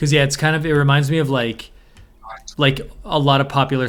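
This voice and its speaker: At a fairly quick pace, a man is talking. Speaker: podcast co-host, hip hop maker. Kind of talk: casual chat. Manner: monotone.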